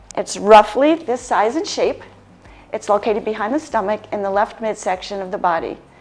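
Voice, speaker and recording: A woman with an American accent, fairly high-pitched and lively in intonation, amid noticeable background noise. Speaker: lifestyle medicine practitioner. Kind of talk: health education presentation.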